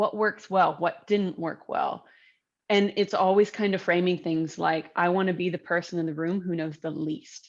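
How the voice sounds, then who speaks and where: In an American accent, a woman speaks at a moderate pace and medium pitch, with ordinary pitch variation and a quiet background. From United States. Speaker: entrepreneur and author. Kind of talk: interview. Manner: animated.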